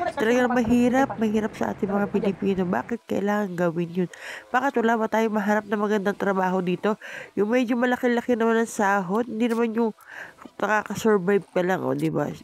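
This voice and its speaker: Talking at a very fast pace, a woman uses a fairly high pitch. Her loudness stays very even. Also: ordinary pitch variation. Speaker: vlogger. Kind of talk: vlog voice-over narration.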